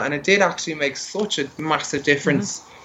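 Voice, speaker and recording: An Irish accent marks this man's fairly high voice, which has ordinary pitch variation. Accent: broad Irish (hosts call it UK accent). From Ireland, Dublin. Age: 30s. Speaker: drag queen. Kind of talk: casual interview.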